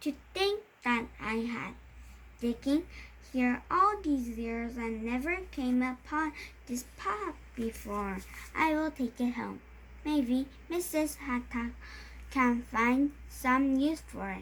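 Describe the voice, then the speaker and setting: In a put-on character voice, a woman speaks very slowly at a high pitch with long, frequent pauses and clear background noise. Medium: read story.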